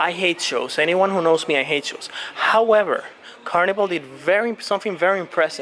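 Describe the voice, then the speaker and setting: Over noticeable background noise, a man with a Latin American accent talks at a fairly quick pace with ordinary pitch variation. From Colombia. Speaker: cruise vlogger. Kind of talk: walking video tour. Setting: on a cruise ship. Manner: casual with many fillers.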